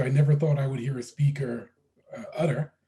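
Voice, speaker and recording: This man talks at a fairly quick pace, his pitch fairly high, his tone dark and mellow. His voice is somewhat breathy, and his intonation stays fairly even. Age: 60s. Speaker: professor and moderator. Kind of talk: webinar interview. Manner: halting.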